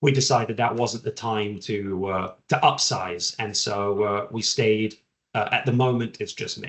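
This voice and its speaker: Fairly even intonation marks a man's somewhat breathy speech. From southern England. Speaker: general counsel. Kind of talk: podcast interview.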